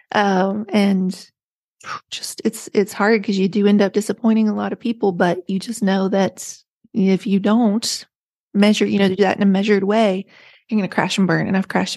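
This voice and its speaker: Somewhat breathy woman with an American accent and monotone, flat intonation, in a dry, close sound with no echo against a quiet background. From rural West Virginia. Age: 40s. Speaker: author. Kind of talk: casual interview chat.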